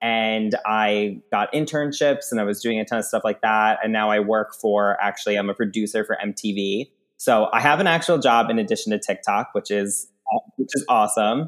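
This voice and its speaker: A man with an American accent, fairly low in pitch, with ordinary pitch variation and a moderate pace, on a very clean recording with a silent background. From US Northeast (Long Island, New York). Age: 20s. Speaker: TikTok comedian. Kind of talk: casual chat. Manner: animated.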